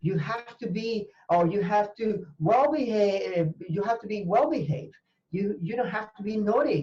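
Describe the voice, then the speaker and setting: With a Spanish accent, this voice moves at a moderate pace. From Venezuela. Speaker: language teacher and university professor. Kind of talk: interview conversation. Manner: halting, with fillers and repetitions.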